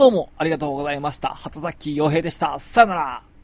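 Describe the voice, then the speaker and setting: Fairly quick, fairly high male speech with ordinary pitch variation. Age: 20s. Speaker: musician and podcast host. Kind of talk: casual solo talk. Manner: hesitant with many fillers.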